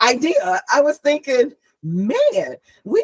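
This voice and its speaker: In a dry, close recording with no echo, a woman with a Southern US accent speaks with very wide pitch swings. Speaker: author. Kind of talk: casual chat. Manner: halting.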